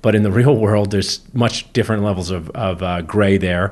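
In a normal speaking voice, a man talks at a moderate pace, his fairly low pitch showing ordinary variation. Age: 40s. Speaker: dentist and podcast co-host. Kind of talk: casual chat.

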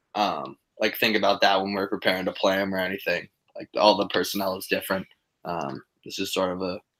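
The speech comes at a fairly quick pace in a very clean recording with a silent background. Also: man. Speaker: college lacrosse player. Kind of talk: casual interview.

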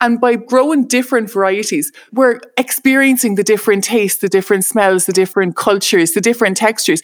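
Her medium pitch shifts in an ordinary way as this woman speaks. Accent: Irish. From Ireland. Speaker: chef. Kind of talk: casual interview.

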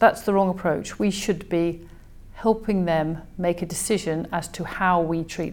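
A woman speaks in a normal speaking voice at a fairly low pitch. Her pace is fairly slow and her intonation fairly even. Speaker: consultant vascular surgeon. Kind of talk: interview.

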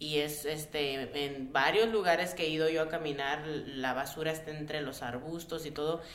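A woman's very deep, low voice with a Mexican accent, fairly even intonation and a moderate pace, over noticeable background noise. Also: hardly any pauses. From Mexico City and Tabasco, Mexico. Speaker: care provider. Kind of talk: radio roundtable discussion. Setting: radio studio.

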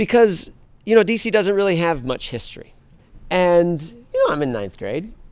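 This voice carries an American accent. Its pitch swings very widely. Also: man, very clean recording, silent background. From Washington, D.C. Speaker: historian and author. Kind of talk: live talk with audience.

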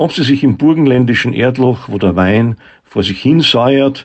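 A man speaks at a fairly slow pace with lively intonation. He has a plain, everyday voice. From Austria, Graz. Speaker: philosopher. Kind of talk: essay reading.

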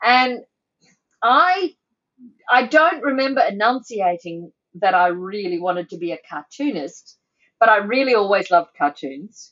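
With an Australian accent, a woman at a medium pitch speaks at a fairly slow pace, with very wide pitch swings and long, frequent pauses. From Sydney, Australia (North Shore). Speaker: editorial cartoonist. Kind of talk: casual chat.

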